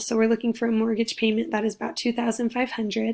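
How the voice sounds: A woman speaks at a fairly quick pace in a raspy, fairly high voice. Her pitch moves very little.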